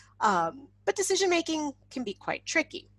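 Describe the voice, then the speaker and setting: A woman talks with a Canadian accent and very wide pitch swings. The sound is dry and close, with no echo. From Canada. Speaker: insect ecologist, professor. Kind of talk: webinar talk. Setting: online webinar. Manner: casual, animated.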